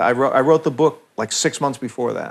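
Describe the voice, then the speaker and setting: At a fairly quick pace, a man with an American accent speaks at medium pitch in a plain, everyday voice, keeping his intonation fairly even. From New York. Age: 60s. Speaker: professional musician. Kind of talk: interview.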